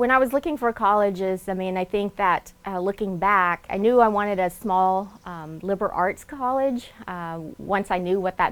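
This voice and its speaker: A woman with a slight Southern US accent, medium pitch, and a moderate pace. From Laos, raised in Nashville, Tennessee. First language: Lao. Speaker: alumna award recipient, doctor. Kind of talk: interview testimony.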